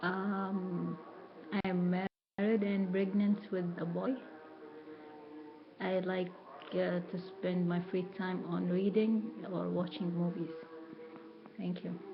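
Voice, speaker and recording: In an Arabic accent, the speaker talks at a very slow pace with long, frequent pauses and flat, monotone intonation, while music plays in the background and room echo is audible. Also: woman, medium pitch for a woman. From Saudi Arabia. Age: 30s. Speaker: university student. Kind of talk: self-introduction in class. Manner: halting.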